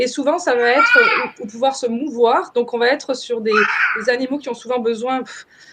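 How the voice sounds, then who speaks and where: With ordinary pitch variation, the speaker keeps a moderate pace while noticeable background noise runs underneath. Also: woman, high pitch for a woman. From France. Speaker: permaculture trainer. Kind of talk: webinar presentation. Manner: halting, many fillers.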